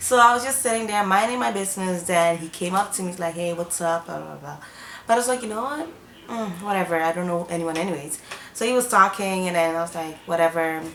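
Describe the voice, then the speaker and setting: A woman at a very fast pace, fairly low in pitch, with big swings in loudness and noticeable background noise. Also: ordinary pitch variation. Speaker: YouTuber. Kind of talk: storytime vlog. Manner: animated.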